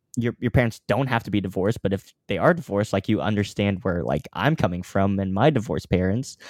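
A man with an American accent speaks very fast in a fairly low pitch with lively intonation. The recording is very clean, with a silent background and a dry, close sound with no echo. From US Midwest, Kansas (Overland Park). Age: 20s. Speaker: online health coach and content creator. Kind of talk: casual chat.

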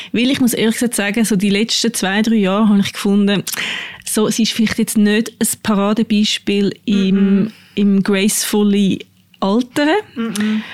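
Over noticeable background noise, a woman speaks at a moderate pace and medium pitch, with monotone, flat intonation and very even loudness. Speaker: podcast host, journalist. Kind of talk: casual chat. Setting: studio.

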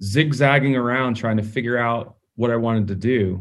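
Using an ordinary speaking voice, a man with an American accent and medium pitch talks at a fairly slow pace. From Atlanta, US South. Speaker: company CEO. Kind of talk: casual chat.

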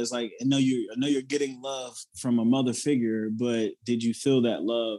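Fairly quick delivery from a man with a Southern US accent. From South Carolina, near Charleston. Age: 30s. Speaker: motivational speaker and Marine veteran. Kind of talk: casual interview.

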